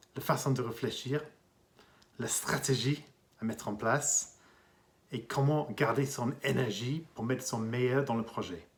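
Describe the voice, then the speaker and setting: A man with an English accent speaks at medium pitch and a fairly slow pace. His intonation stays fairly even, broken by long, frequent pauses. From England. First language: English (speaking French). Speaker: executive coach and consultant. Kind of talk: interview monologue.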